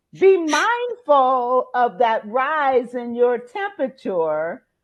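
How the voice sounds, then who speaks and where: Loud and high-pitched, a woman speaks with very wide pitch swings. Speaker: life coach and motivational speaker. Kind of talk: interview. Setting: podcast.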